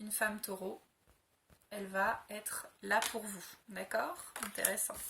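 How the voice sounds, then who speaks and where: Her pace very slow, a woman speaks with a fairly high pitch. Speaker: tarot card reader. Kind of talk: astrology reading video. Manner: hesitant, many fillers.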